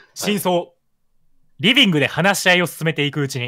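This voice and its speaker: A man with an unremarkable speaking voice and a fairly high pitch, at a fairly quick pace, in a very clean recording with a silent background. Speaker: gaming content creator. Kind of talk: casual chat during a murder mystery game, partly reading aloud.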